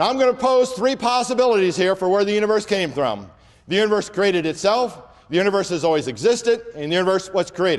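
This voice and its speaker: At a very fast pace, a man with a high pitch speaks in an animated tone with lively intonation. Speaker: creation apologetics speaker. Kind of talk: lecture.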